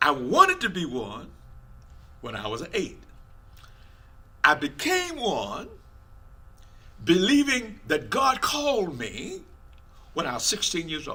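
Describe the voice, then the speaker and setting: Speaking at a very slow pace with long, frequent pauses, a man's loudness swings widely, while audible room echo and noticeable background noise fill the recording. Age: 70s. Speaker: preacher. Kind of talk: sermon.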